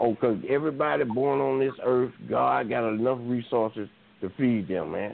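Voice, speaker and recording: A man with a medium-pitched voice and ordinary pitch variation speaks moderately fast. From US South. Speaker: caller. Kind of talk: call-in discussion. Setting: phone call.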